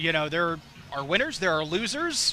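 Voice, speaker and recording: With an American accent, a man speaks in a high pitch with a bright, sharp tone. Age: 30s. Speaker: TV parade commentator. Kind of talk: live commentary. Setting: outdoors. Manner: animated.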